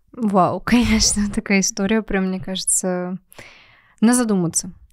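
A woman talks at a moderate pace and a medium pitch, in an ordinary speaking voice. Her intonation is fairly even, and the background is quiet. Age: 20s. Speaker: podcast host and marketer; podcast host. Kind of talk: podcast interview. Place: studio. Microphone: studio mic.

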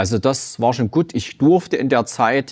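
Fairly slow male speech over a quiet background. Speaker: gym owner and cancer survivor; talk show guest. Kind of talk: testimony; interview answer. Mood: calm, reflective, serious. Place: studio. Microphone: lapel.

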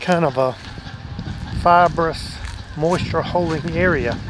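Noticeable background noise behind a man's voice, dry and echo-free. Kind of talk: casual vlog chat. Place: garden. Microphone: phone near.

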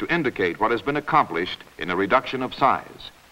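A man talking at a fairly quick pace. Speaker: commercial film narrator. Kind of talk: vintage commercial narration, scripted promotional voice-over. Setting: studio voice-over on 1949 film. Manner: formal, measured, authoritative announcer delivery; polished and even, typical of 1940s industrial film. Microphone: old recording.

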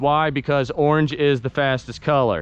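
A man speaks at a very slow pace. The sound is dry with no echo. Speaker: vlogger filming friend. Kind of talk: casual vlog chat. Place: open country. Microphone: phone near.

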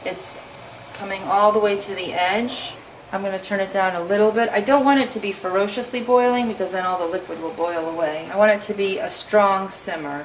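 With light noise behind her, a woman talks fairly quickly, her pitch varying in an ordinary way. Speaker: home cook host. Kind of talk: tutorial. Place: kitchen.

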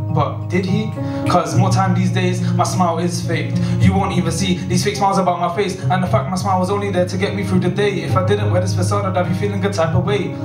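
A man talks at a very fast pace over clear music in the background. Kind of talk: spoken word poetry performance. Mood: emotional, introspective. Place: stage.

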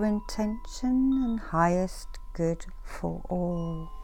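Music can be heard behind the speaker. She is a woman talking at a very slow pace. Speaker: reiki master and meditation guide. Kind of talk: inspirational affirmations. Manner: soft, murmured.

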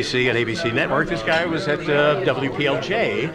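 A man talks at a moderate speed while loud noise fills the background. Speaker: interviewer, game show host and voice talent. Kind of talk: casual interview banter at a radio reunion lunch. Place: cafe. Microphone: handheld.

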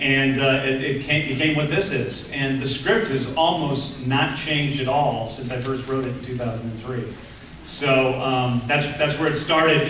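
A man speaks at a moderate pace with fairly even intonation. Light background noise and audible room echo come through. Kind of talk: interview answer. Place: hall.

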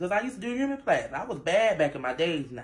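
A woman talks at a moderate pace with lively intonation. Room echo is audible.

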